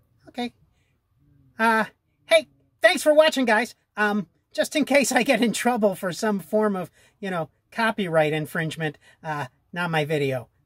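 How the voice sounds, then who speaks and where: In a cartoonish character voice with fairly high pitch, the speaker moves at a moderate pace with long, frequent pauses, on a very clean recording with a silent background. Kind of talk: comedy puppet sketch. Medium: puppet. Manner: flustered, hesitant.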